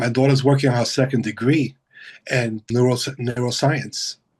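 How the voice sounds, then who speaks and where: Somewhat breathy, a man speaks at a medium pitch and moderate pace. His intonation stays monotone and flat. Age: 60s. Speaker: hospital biomedical equipment technician. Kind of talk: casual interview.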